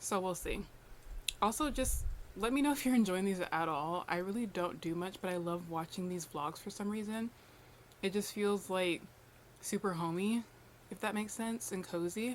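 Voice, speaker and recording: A woman at medium pitch and moderate pace, with ordinary pitch variation and long, frequent pauses. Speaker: lifestyle vlogger. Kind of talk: casual vlog talk to camera. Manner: soft-spoken.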